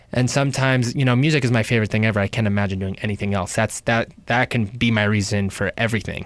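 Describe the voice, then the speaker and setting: A man with a New York accent speaks at a very fast pace with hardly any pauses, his medium pitch held to fairly even intonation and very even loudness. The recording is very clean, with a silent background. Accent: New York American. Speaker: singer. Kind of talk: casual interview.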